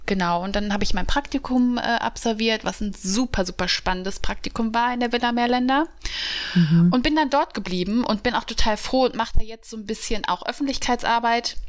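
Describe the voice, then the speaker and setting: A woman's fairly high voice at a moderate pace, with ordinary pitch variation, hardly any pauses and noticeable background noise. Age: 30s. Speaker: journalist and podcast co-host. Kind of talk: casual chat.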